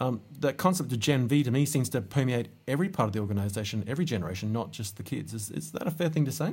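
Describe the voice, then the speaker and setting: A man's medium-pitched voice with vocal fry, very fast with hardly any pauses and lively intonation. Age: 50s. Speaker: podcast host. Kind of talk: interview. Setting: podcast studio.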